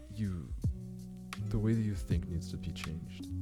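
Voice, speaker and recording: Over music in the background, a man speaks in a very deep, low pitch. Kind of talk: casual talk to camera.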